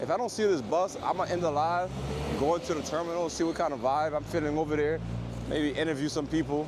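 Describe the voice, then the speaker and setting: A man speaks very fast with an American accent, his pitch fairly high and ordinarily varied. Room echo is audible, and background noise is noticeable. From Pennsylvania, US. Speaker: travel vlogger. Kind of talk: live stream vlog. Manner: soft-spoken; casual.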